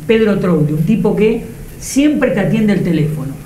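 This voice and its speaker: A speaker with a Rioplatense accent is heard with audible room echo and light background noise. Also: man. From Argentina. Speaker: TV show host; interviewer, show host. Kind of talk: casual interview. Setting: football stadium. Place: home room. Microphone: lapel.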